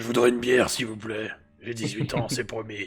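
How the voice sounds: A man puts on a raspy character voice at a medium pitch, speaking at a moderate pace with a flat, monotone delivery and big jumps in loudness over faint background music.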